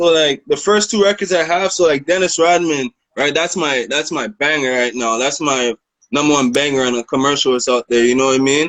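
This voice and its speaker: Fairly high in pitch, a man talks in an unremarkable speaking voice with ordinary pitch variation. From Canada, Toronto. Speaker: rapper. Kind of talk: interview. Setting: video call.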